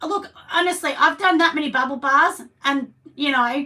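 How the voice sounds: A woman speaks at a moderate pace and a high pitch, with ordinary pitch variation. Her tone is bright and sharp, and husky.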